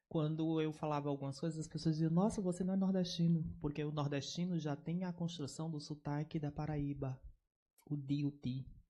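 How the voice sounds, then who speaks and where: Speaking at a moderate pace, a man has a fairly high pitch and a dark, mellow tone. His intonation is fairly even, with a slight northeastern Brazilian accent. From Northeast Brazil, Oeiras, Piauí. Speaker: researcher. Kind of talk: academic lecture.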